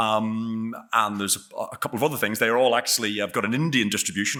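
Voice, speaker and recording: A man speaks very fast with a bright, sharp tone and a fairly low pitch. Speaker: bird expert speaker. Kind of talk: lecture. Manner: halting, many fillers and repetitions.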